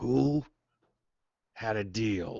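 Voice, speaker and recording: A man does a put-on character voice. His pitch is fairly low. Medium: actual play. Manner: blunt, suspicious.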